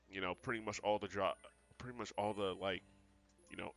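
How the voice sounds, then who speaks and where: The speaker keeps a fairly even intonation while music plays in the background. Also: man. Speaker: gaming youtuber. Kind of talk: casual vlog monologue. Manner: halting, many filler words.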